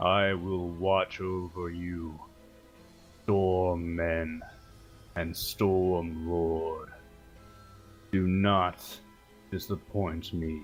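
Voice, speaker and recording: A man's put-on character voice, booming and very deep, in a monotone, flat intonation at a very slow pace with long, frequent pauses and clear music in the background. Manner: commanding.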